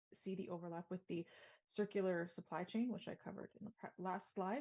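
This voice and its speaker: A woman's medium-pitched voice with a Canadian accent, a dark, mellow tone and fairly even intonation at a fairly quick pace. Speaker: sustainability consultant. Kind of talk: webinar presentation. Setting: virtual event. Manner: fast.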